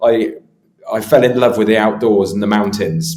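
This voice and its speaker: A man speaks with a British accent. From UK. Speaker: travel safety consultant. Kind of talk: podcast interview. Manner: hesitant, many fillers.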